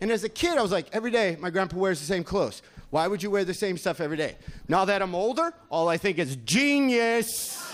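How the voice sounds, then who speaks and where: A man rattles along at a very fast pace in a high voice with lively intonation. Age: 40s. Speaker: stand-up comedian. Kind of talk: stand-up. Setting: stage with audience. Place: stage. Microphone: handheld.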